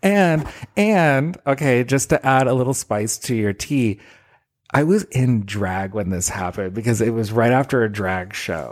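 A man talks with lively intonation in a plain, everyday voice at a fairly slow pace. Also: medium pitch for a man. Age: 40s. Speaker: podcast co-host. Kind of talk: casual chat.

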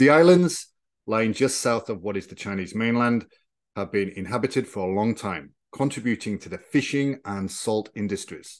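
An ordinary speaking voice moves at a moderate pace with lively intonation. Loudness swings widely over a quiet background. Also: man, medium pitch for a man. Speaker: podcast host and historian. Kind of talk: history documentary narration, scripted and read in an even, explanatory tone. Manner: formal, measured and neutral, steady educational delivery.

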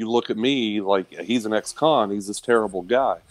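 A man speaks at a moderate pace with fairly low pitch. He has ordinary pitch variation and a normal speaking voice. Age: 40s. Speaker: former corrections officer and army veteran. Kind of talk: casual interview.

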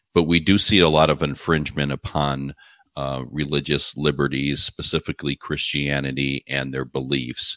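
Speaking with an American accent at a moderate pace, a man with a very deep, low pitch, vocal fry and a bright, sharp tone delivers a flat monotone in a dry, close recording with no echo. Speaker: podcast host. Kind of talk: interview.

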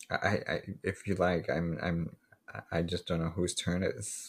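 This man's very deep, low voice is somewhat breathy and stays monotone, with flat intonation. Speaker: podcast host. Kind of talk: casual chat, true crime podcast.

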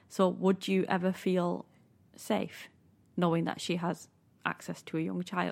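A woman with a Manchester accent, fairly low pitch, monotone, flat intonation, a fairly slow pace and long, frequent pauses, in a very clean recording with a silent background. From north of England. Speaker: podcast co-host. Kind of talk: casual chat and reading aloud.

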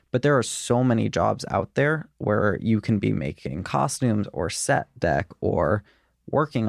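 Vocal fry marks a man's fairly low-pitched voice with an American accent. The sound is dry and close with no echo, on a very clean recording with a silent background. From Richmond, Virginia. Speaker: production designer. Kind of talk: casual chat.

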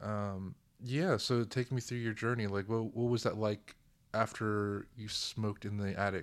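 In a very clean recording with a silent background, a man talks at a moderate pace in a plain, everyday voice, fairly low-pitched and with fairly even intonation. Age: 20s. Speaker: guest, cousin of host.

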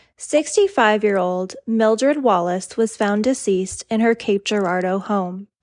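With an unremarkable speaking voice, a woman speaks at a fairly high pitch and a moderate pace, showing ordinary pitch variation in a dry, close sound with no echo. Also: quiet background. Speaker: true crime podcaster. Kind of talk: scripted true-crime narration. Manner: even, serious, measured storytelling.

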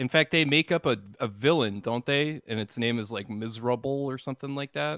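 A man talks at a fairly quick pace with lively intonation. He has a normal speaking voice at medium pitch. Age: 30s. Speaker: video creator. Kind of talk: casual chat.

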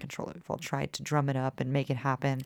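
At a moderate pace, a woman with a very deep, low pitch speaks in an animated tone. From Texas (Austin, Dallas). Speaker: bluegrass musician. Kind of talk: casual chat.

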